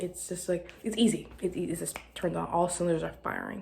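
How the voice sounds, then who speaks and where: A woman with an American accent talks while noticeable background noise continues. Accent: southern, slips in at times. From US South, Arkansas. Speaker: podcast host. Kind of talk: casual monologue. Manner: rambling, halting.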